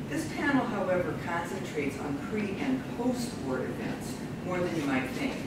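At a moderate pace, the voice comes through audible room echo and loud background noise. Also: woman. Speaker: panel chair introducing papers. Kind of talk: conference introduction read from notes. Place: classroom. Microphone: camera far.

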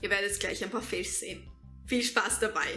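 With faint music in the background, a woman talks at a moderate pace. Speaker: YouTuber, storyteller. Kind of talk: casual talk to camera. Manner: clicks tongue often. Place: home room. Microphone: camera far.

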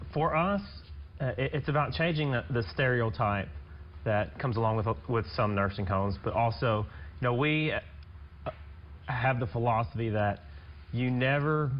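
A man's somewhat breathy voice with long, frequent pauses. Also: moderate pace. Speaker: guest. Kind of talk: interview answer. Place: studio.

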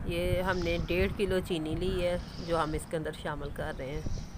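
Speaking at a moderate pace, a woman keeps a fairly low pitch and fairly even intonation.

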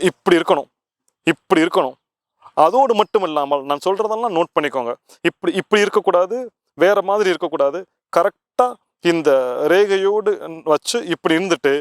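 The voice moves with lively intonation in a dry, close sound with no echo. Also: man. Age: 40s. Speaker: spiritual teacher. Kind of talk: tutorial.

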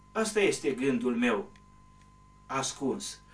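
A man's high-pitched voice with very wide pitch swings. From Romania, Bârgău Valley, Bistrița area (Transylvania); Transylvania. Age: old. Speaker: retired teacher and local author; former teacher. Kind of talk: interview. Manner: hesitant, with frequent fillers. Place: home room.

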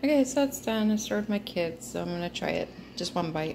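A woman talks at a fairly quick pace with lively intonation. Her fairly low voice has vocal fry and a slightly mellow tone.

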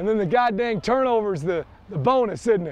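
Over light background noise, a man talks at a moderate pace with lively intonation and a dry sound with no echo. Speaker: football head coach. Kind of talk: coaching instructions at practice. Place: stadium. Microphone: lapel.

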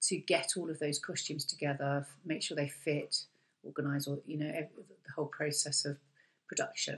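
Somewhat breathy and flat in a monotone, a woman speaks in a very deep, low voice. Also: moderate pace. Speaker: course lecturer. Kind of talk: webinar presentation. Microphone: webcam.

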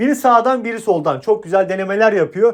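Talking at a very fast pace, a man speaks in a high voice. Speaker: sports betting tipster. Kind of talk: casual monologue. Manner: animated.

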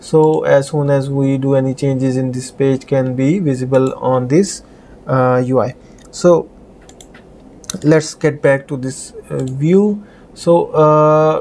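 Very slow and marked by long, frequent pauses, a man speaks with fairly even intonation. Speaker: programming tutor. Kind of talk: tutorial.

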